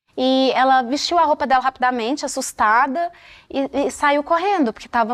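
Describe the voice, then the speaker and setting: Against a quiet background, a woman speaks at a moderate pace in a high pitch. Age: 30s. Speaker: dancer. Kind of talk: interview testimony. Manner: halting.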